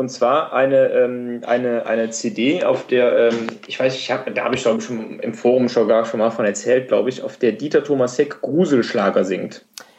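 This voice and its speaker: A man talks at an even, middling speed while clear background noise carries on behind him. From western Germany, Rhineland (Wuppertal/Cologne area). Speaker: podcast guest. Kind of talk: casual chat. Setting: remote call via iPad. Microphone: hiss/noise on his line, no headset.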